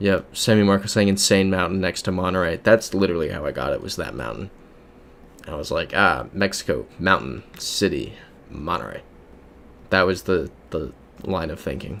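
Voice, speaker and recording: With an American accent and vocal fry, a man with a very deep, low pitch talks in an animated tone at a moderate pace with ordinary pitch variation. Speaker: GeoGuessr streamer. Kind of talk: livestream commentary with chat. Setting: livestream. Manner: casual, animated.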